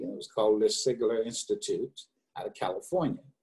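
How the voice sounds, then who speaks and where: Somewhat breathy with a dark, mellow tone, a man speaks with an American accent. His intonation is lively. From US South, eastern North Carolina. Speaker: business consultant. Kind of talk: interview.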